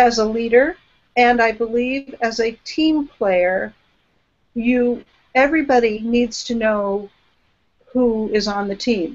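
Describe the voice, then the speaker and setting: Very slow delivery broken by long, frequent pauses, with ordinary pitch variation. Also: woman. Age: 60s. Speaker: business consultant. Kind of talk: interview. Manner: halting.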